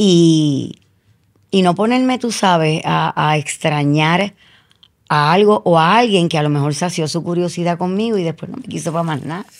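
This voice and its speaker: At a moderate pace and with ordinary pitch variation, a woman talks against a quiet background. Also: fairly low pitch for a woman. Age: 60s. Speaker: media personality; interview guest. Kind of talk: casual chat. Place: studio. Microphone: studio mic.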